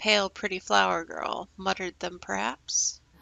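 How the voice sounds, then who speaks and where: A woman's put-on, sing-song character voice at a fairly low pitch and a moderate pace. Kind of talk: put-on madness. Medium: game stream. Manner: cryptic, singsong, halting.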